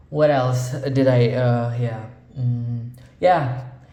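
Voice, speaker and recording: Here a man speaks at a medium pitch with a non-native accent. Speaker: audio gear reviewer. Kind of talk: casual talk to camera. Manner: casual, hesitant, profane.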